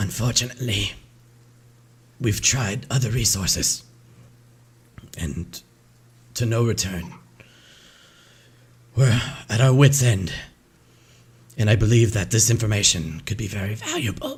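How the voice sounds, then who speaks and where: Using a put-on character voice, a man speaks raspily at a medium pitch and moderate pace, with long, frequent pauses. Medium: actual play.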